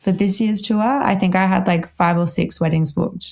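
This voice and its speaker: A somewhat breathy woman at medium pitch, moderate pace and fairly even intonation. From Australia, Melbourne. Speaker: wedding violinist. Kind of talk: podcast interview. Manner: casual, lots of fillers.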